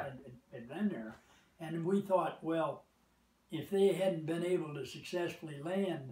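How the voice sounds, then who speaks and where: The voice has a dark, mellow tone and an American accent, delivered at a fairly slow pace. Room echo is audible. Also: man, high pitch for a man, ordinary pitch variation, big swings in loudness. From United States. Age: 80s+. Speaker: war veteran. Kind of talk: interview answer. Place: home room. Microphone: camera far.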